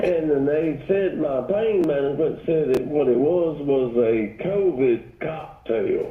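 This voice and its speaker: A man with a Southern US accent, fairly high-pitched, with ordinary pitch variation, very even loudness and a very slow pace, plus audible room echo and noticeable background noise. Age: 60s. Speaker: caller. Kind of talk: casual chat. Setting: phone call.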